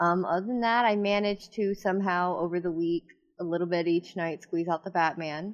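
A woman in a normal speaking voice talks at a fairly quick pace and medium pitch, her loudness very even. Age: 30s. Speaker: podcast co-host. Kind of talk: casual chat.

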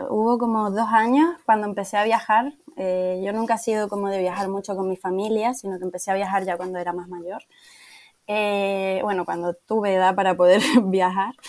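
A woman speaks at medium pitch with a Canarian accent. Her intonation stays fairly even and her pace is moderate. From Canary Islands, Tenerife. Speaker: travel planner. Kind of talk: interview.

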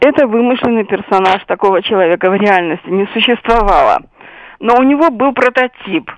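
A woman with a normal speaking voice and fairly high pitch talks at a moderate pace, her intonation lively and her loudness very even. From Sevastopol, Crimea. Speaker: writer and military historian. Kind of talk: interview.

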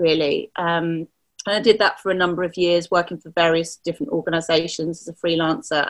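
It is a normal speaking voice at a fairly quick pace. The loudness swings a lot. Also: woman. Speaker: community engagement strategist and business mentor. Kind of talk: interview conversation.

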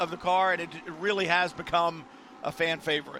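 Against noticeable background noise, a man with a high pitch speaks at a moderate pace in a raised, projected, animated voice. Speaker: race commentator. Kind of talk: live race commentary. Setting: trackside at race. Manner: animated, brisk play-by-play delivery.

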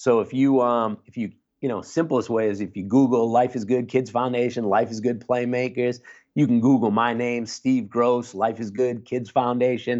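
The man's medium-pitched voice has monotone, flat intonation. He keeps a moderate pace. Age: 50s. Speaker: clinical social worker. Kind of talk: interview conversation. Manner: casual.

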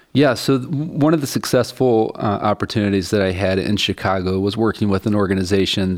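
A man speaks at a fairly quick pace with an American accent. He has a plain, everyday voice, fairly low in pitch. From US, West Virginia (Appalachia). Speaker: social enterprise CEO. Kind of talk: interview.

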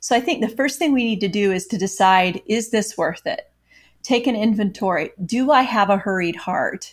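Somewhat breathy with an American accent, the voice moves at a moderate pace with ordinary pitch variation. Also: woman, fairly high pitch for a woman. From US Midwest, Iowa. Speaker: author and former news reporter. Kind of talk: interview. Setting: video call.

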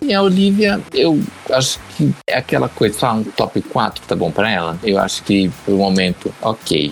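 Over noticeable background noise, a man speaks at a moderate pace with hardly any pauses and very even loudness. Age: 30s. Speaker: drag queen and cosplayer. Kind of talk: casual chat.

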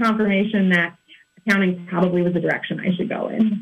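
A woman with a Midwestern US accent speaks at a medium pitch. Her pace is fairly quick. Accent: US Midwest. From Kansas City area, Missouri. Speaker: accountant. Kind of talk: radio interview.

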